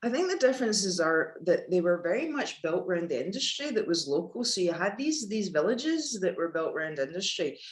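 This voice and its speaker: Over noticeable background noise, a woman with a Glasgow accent speaks at a fairly quick pace and medium pitch, her pitch swinging very widely and pauses hardly appearing. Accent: west of Scotland (Glasgow area). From Scotland, Paisley near Glasgow. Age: 50s. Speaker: former lawyer turned yoga teacher. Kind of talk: casual interview.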